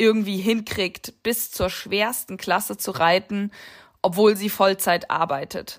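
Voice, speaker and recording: The delivery comes at a very slow pace with fairly even intonation. The recording is very clean, with a silent background. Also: woman. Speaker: podcast host and amateur eventing rider. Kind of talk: casual interview chat.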